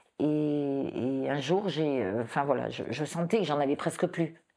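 A woman's very deep, low voice with ordinary pitch variation, set against a quiet background. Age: 60s. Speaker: breast cancer patient giving testimony; interviewee. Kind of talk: testimony. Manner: halting, with repetitions. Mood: emotional, reflective recollection. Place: home room.

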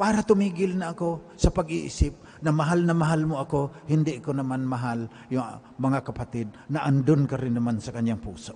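A somewhat breathy man at a moderate pace, dark and mellow in tone. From Mindanao, Philippines. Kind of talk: sermon, homily at live Mass, mixing Tagalog and English, personal testimony. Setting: church, live Mass. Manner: earnest, conversational, reflective, storytelling. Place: church. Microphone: podium.

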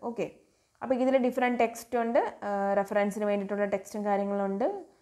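Dark, mellow tone with ordinary pitch variation. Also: woman. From Kerala, Kollam district (Karunagappally). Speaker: engineering lecturer. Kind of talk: lecture. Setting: online class.

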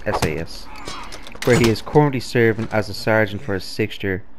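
With a strong Dublin accent, the speaker keeps a moderate pace over noticeable background noise. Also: man. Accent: thick Dublin. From Ireland, Dublin. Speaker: gaming YouTuber. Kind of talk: reading aloud; gameplay commentary.

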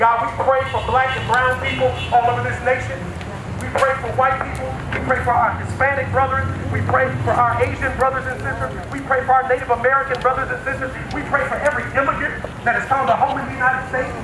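A man speaks at a very fast pace amid noticeable background noise and audible room echo. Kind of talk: public prayer. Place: street.

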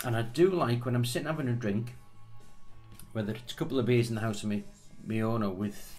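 Speech at a fairly quick pace plays over music in the background. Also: man. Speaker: whisky reviewer. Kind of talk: casual tasting review chat. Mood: relaxed, joking. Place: home room. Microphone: camera far.

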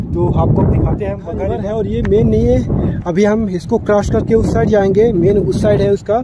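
A man speaks at a moderate pace in a dry sound with no echo, with loud background noise behind him. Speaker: travel vlogger. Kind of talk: casual vlog chat. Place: open country. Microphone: lapel.

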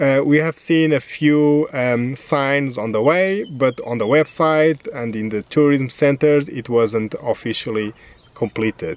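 A man talks at a fairly slow pace. His pitch is medium, with ordinary variation.

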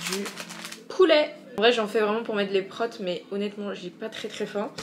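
Music can be heard behind the speaker. The voice belongs to a woman. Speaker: vlogger. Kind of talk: casual vlog chat. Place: kitchen. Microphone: phone near.

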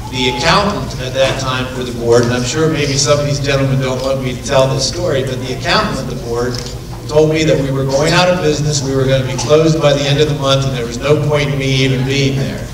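Over noticeable background noise and audible room echo, a man speaks at a very fast pace with fairly even intonation. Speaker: attorney. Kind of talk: ceremony speech. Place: hall. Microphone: podium.

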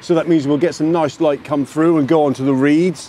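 Light background noise behind a man's voice, with a dry sound and no echo. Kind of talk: casual vlog chat. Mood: cheerful, enthusiastic. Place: waterside. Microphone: phone near.

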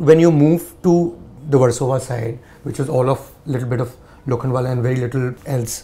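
This man talks at a fairly quick pace in a dark, mellow tone that is somewhat breathy, with fairly even intonation. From India. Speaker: journalist interviewer. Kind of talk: interview. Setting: director's office. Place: home room.

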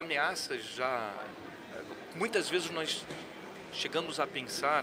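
The man's speech shows ordinary pitch variation amid noticeable background noise. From interior of Rio de Janeiro, Brazil. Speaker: insurance executive. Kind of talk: casual interview. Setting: live at a conference. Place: hall. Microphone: studio mic.

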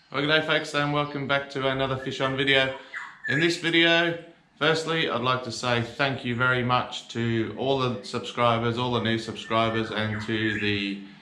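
A man talks with ordinary pitch variation. Audible room echo and light background noise are present. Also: moderate pace. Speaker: fishing channel host. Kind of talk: casual vlog chat. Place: garage.

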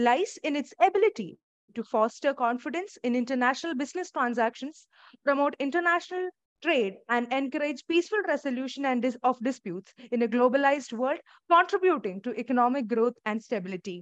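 In a dry recording with no echo and a quiet background, a woman talks fairly quickly in a high pitch with very wide pitch swings. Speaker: webinar host, student moderator. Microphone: earbuds.

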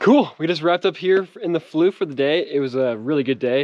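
A man talks at a fairly quick pace. The sound is dry, with no echo. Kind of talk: casual vlog chat. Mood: happy, satisfied. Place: open country. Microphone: phone near.

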